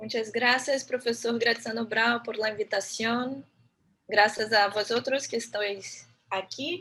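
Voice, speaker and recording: Very slowly, a woman with a Brazilian accent speaks at a fairly high pitch, her tone bright and sharp and her intonation fairly even. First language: Portuguese (speaking Spanish). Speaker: architect and urban planner, lecturer. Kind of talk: lecture.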